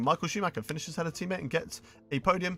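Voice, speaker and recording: A man with a British accent and a bright, sharp tone, in a very clean recording with a silent background. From English Midlands. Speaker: video game streamer. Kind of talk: live gameplay stream commentary.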